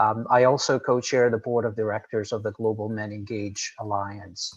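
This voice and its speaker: A man's fairly low, monotone, flat voice at a moderate pace, with a Portuguese accent. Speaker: nonprofit executive director. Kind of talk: panel discussion talk. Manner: hesitant, many fillers.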